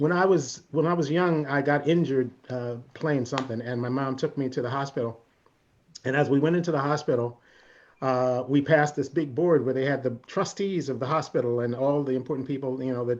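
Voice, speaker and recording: In a quiet background, a man with a plain, everyday voice speaks at a fairly quick pace, his pitch fairly high and his intonation fairly even. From US Northeast, Philadelphia. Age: 60s. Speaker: singer-songwriter and speaker on race. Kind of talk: panel discussion.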